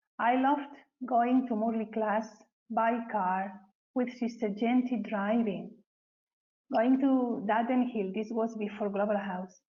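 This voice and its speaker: Speaking with a Spanish accent, a woman with a fairly high pitch talks at a fairly slow pace with fairly even intonation and long, frequent pauses. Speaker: spiritual community member. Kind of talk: testimony. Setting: webcast.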